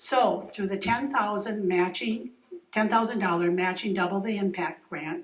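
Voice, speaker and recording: In an American accent, a woman talks with ordinary pitch variation. Noticeable background noise and audible room echo fill the recording. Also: medium pitch for a woman, moderate pace. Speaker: foundation board member. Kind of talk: speech at community event. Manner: loud.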